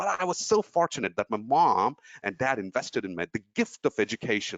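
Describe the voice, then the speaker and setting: This man talks at a fairly quick pace, his pitch swinging very widely. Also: medium pitch for a man. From India, Tamil Nadu (Trichy). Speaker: motivational speaker. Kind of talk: webinar talk. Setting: online webinar. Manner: animated.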